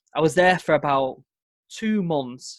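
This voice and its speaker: A man with a northern English accent on a very clean recording against a silent background. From northern England, Manchester. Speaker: former Royal Marine commando. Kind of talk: podcast interview.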